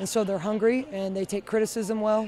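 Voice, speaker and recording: The speech comes at a moderate pace over light background noise, with a dry sound and no echo. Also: woman. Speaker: head coach. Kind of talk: interview answer. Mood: pleased, measured. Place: stadium. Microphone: handheld.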